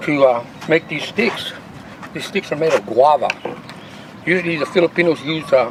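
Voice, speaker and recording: Over noticeable background noise, a man talks at a moderate pace with a fairly high pitch. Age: 60s. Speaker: martial arts grandmaster. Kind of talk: casual interview talk. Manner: halting, repetitive.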